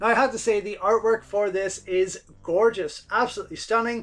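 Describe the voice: His intonation fairly even, a man speaks at a high pitch with a fairly bright tone. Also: fairly quick pace.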